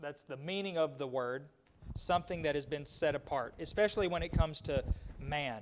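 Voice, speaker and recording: Using a fairly high pitch and ordinary pitch variation, a man with an American accent speaks at a fairly quick pace. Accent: rural Southern US twang, self-described hick. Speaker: Bible class teacher. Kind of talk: Bible study lesson. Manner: halting, with many fillers and repetitions.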